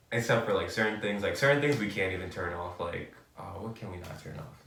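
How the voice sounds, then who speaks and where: A man with an American accent, fairly low-pitched and very fast, with lively intonation, noticeable background noise and audible room echo. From New York City. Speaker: podcast host. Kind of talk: casual chat. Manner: animated, many fillers.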